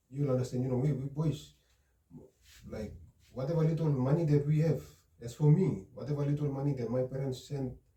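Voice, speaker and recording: A man with a dark, mellow tone and a somewhat breathy quality speaks at a moderate pace and medium pitch, using ordinary pitch variation. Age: 20s. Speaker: counseling client. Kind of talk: role-play counseling session. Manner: halting.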